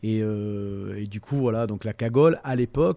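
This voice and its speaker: In a dry, close sound with no echo, a man with a dark, mellow tone speaks fairly slowly with ordinary pitch variation. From Toulon, Provence. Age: 50s. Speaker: humorist, musician, actor. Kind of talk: interview answer. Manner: hesitant, casual.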